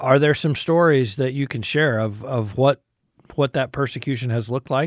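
Recorded very cleanly against a silent background with a dry, close sound and no echo, a man in an ordinary speaking voice talks at medium pitch and a moderate pace with fairly even intonation. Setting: studio.

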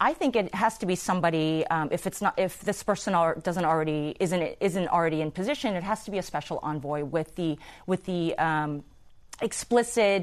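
An ordinary speaking voice at a fairly quick pace, with ordinary pitch variation and a quiet background. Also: woman, fairly low pitch for a woman. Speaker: national security expert. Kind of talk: panel discussion.

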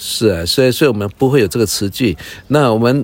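At a moderate pace, a man speaks. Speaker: pastor and native-language teacher. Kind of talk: casual chat. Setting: outdoors by a fire. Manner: halting.

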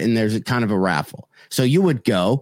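Set against a silent background in a very clean recording, an unremarkable speaking voice moves at a moderate pace with lively intonation. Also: man, dry, close sound with no echo. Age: 50s. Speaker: comedian. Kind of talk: casual chat. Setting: live-streamed podcast.

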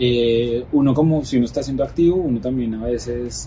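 A man at a fairly quick pace, medium pitch and ordinary pitch variation, amid noticeable background noise. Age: 30s. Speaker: political scientist and communicator. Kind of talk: personal interview. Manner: halting, many repetitions.

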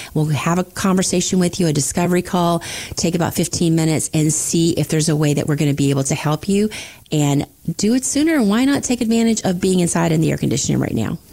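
The voice has a dark, mellow tone and lively intonation. It moves at a very fast pace with very even loudness. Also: woman, fairly low pitch for a woman. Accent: American. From Florida Panhandle. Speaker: financial advisor. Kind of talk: casual chat.

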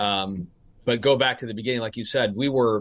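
A man's plain, everyday voice at a medium pitch, with fairly even intonation. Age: 50s. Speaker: restructuring banker. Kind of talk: interview.

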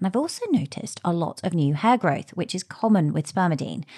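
In a quiet background, a woman with a fairly low pitch talks at a fairly quick pace with lively intonation. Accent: British. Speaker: podcast host and health coach. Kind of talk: interview.

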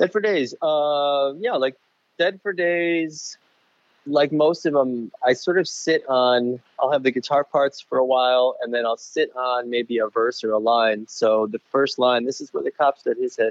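The speaker has an American accent and a plain, everyday voice. The pace is fairly slow, with ordinary pitch variation. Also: man, fairly high pitch for a man. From Chicago. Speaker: musician. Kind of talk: casual chat. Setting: outdoors on a patio, remote call. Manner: casual, rambling.

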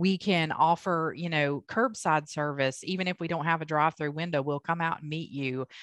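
Very deep, low-pitched woman with an American accent, a moderate pace, hardly any pauses, and a dry, close sound with no echo. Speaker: accountant and business owner. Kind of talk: interview. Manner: animated, loud, bold.

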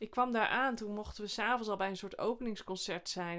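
A woman's medium-pitched voice, very fast, with fairly even intonation. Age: 40s. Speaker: comedian and sketch podcast host. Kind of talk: casual chat.

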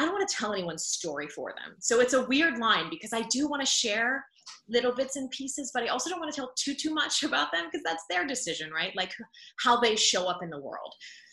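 Over noticeable background noise, a woman speaks at a very fast pace. Her high voice swings very widely in pitch. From Pittsburgh, Pennsylvania. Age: 30s. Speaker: former TV news anchor, podcaster. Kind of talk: interview conversation.

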